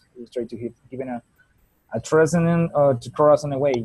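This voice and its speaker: With a Spanish accent, the speaker talks at a fairly quick pace in a dark, mellow, somewhat breathy tone. The intonation is fairly even, and the sound is dry and close, with no echo. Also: man. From Colombia. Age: 20s. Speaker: teacher. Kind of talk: self-introduction in class. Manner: halting.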